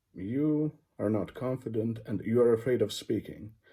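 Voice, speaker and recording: A man's dark, mellow voice with a non-native accent, at a fairly slow pace. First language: not English. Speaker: English teacher. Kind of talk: educational talk. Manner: halting, with fillers.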